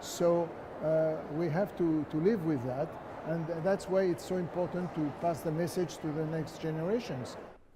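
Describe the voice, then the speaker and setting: Over noticeable background noise, a man talks at a moderate pace and fairly high pitch with fairly even intonation. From France. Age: 70s. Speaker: Holocaust survivor, museum volunteer. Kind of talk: interview answer.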